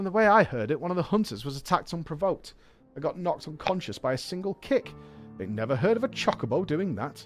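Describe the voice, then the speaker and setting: A man's put-on character voice, gravelly and raspy, high in pitch with very wide pitch swings and a very fast pace, faint music in the background. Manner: harsh, throat-shredding.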